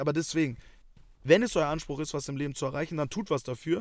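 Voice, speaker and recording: Speaking at a fairly quick pace, a man with a fairly high pitch shows ordinary pitch variation on a very clean recording with a silent background. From Germany, Hamburg. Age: 20s. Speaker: podcast co-host. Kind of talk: casual chat. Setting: in a car.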